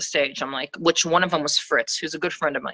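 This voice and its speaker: A woman with an American accent speaks in a bright, sharp tone, captured dry and close without any echo. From US Midwest, northeast Ohio. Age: 30s. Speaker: rapper. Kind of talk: podcast interview.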